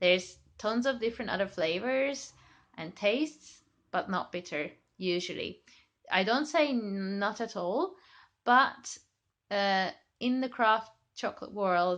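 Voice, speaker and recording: In a Hungarian accent, the speaker talks at a fairly slow pace with lively intonation and long, frequent pauses against a quiet background. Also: woman, fairly high pitch for a woman. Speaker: chocolate maker. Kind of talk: tutorial. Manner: hesitant, many fillers.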